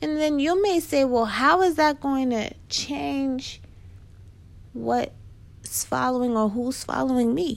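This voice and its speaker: In a New York accent, a woman speaks at a very slow pace. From Queens, New York. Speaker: podcast host, business and marketing advisor. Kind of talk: solo podcast talk about business and marketing. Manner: casual, conversational.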